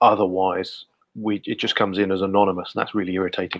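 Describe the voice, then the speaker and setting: A man talks with a Guernsey accent at a fairly quick pace. The background is quiet. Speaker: community group host. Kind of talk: casual live stream chat. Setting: live video stream.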